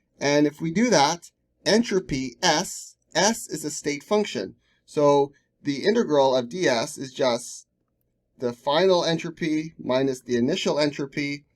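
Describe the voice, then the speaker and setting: Speaking at a fairly slow pace, a man with a plain, everyday voice has a fairly high pitch and lively intonation. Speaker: science tutor. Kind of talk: lecture.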